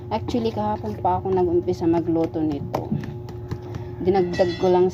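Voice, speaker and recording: Over noticeable background noise, a woman speaks quietly at a fairly low pitch with lively intonation. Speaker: cooking vlogger. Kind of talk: cooking vlog tutorial. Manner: quiet, low voice.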